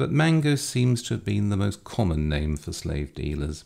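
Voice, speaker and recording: A man with an English accent talks at a fairly slow pace in a fairly low pitch, his voice making very wide pitch swings. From England. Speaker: lecturer. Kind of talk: lecture. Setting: video recording, lower basement. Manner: formal, wry.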